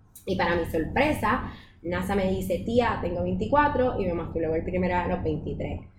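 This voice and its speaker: A woman talks at a moderate pace. Audible room echo and noticeable background noise fill the recording. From Puerto Rico. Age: 20s. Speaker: communicator and sex-education project co-founder. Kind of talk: casual interview.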